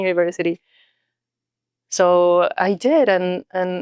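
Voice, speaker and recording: A woman with a Mexican accent talks at a medium pitch. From Mexico. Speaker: nonprofit leader and executive coach. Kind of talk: podcast interview.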